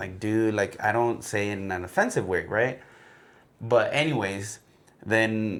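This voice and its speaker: A man's fairly low-pitched voice at a fairly slow pace, with fairly even intonation. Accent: Mexican. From Mexico, Guadalajara. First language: Spanish. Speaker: podcast co-host. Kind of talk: casual chat. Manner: code-switching Spanish and English.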